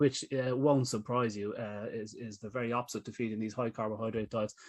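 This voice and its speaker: A man speaks with an Irish accent and fairly even intonation. The recording is very clean, with a silent background. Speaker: pet nutrition expert. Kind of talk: panel discussion. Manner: talkative.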